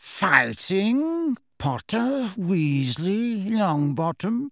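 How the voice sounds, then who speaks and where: Doing a put-on character voice, a man speaks high and very slowly with very wide pitch swings, in a dry, close sound with no echo on a very clean recording with a silent background. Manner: sneering, menacing.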